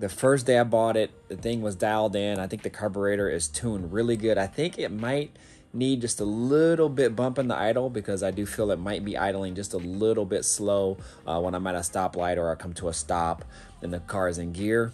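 A man speaks at a fairly quick pace with a fairly low pitch and ordinary pitch variation. Faint music plays in the background. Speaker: car hobbyist vlogger. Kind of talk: casual vlog chat. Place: garage. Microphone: phone near.

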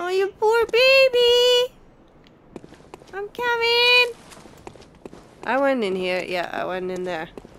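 Over noticeable background noise, a woman speaks at a very slow pace, leaving long, frequent pauses. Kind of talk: gameplay commentary. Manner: casual, reactive.

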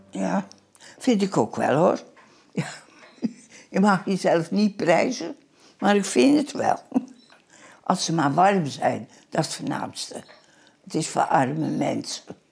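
A woman's very slow speech with vocal fry, very wide pitch swings and long, frequent pauses. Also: medium pitch for a woman. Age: 80s+. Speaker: knitter. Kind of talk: casual chat. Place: home room.

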